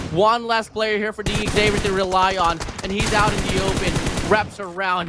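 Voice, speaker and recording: Noticeable background noise runs under this man's voice. He speaks high for a man, in a monotone, flat intonation. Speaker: esports caster. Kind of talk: live commentary. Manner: fast.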